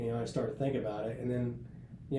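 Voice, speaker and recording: In a space with audible room echo, a man holds a fairly level intonation at medium pitch. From US, north central West Virginia. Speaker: senior Navy enlisted leader. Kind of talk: podcast interview. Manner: casual, with many hesitations and repeats.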